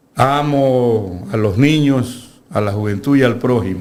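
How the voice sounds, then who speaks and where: With audible room echo, a man speaks in fairly even intonation. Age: 70s. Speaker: lawyer and university lecturer. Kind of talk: political interview. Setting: studio.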